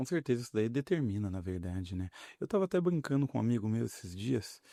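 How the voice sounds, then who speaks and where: Very fast, soft-spoken speech from a man at medium pitch, with very wide pitch swings, in a very clean recording with a silent background. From Paraná, Brazil. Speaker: politician. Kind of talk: podcast interview.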